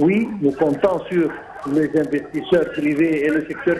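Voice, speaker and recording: A man with a fairly high pitch talks while noticeable background noise carries on. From Egypt. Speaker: economics expert. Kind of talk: TV interview. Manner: halting, repetitive.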